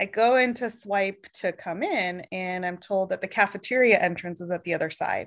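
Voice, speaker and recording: A woman with a plain, everyday voice speaks at a moderate pace in a medium pitch with ordinary pitch variation, over a quiet background. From Oregon. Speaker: podcast co-host, HR professional. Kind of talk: casual chat.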